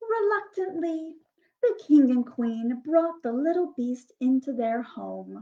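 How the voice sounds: At a slow pace, a woman speaks in a high pitch with lively intonation.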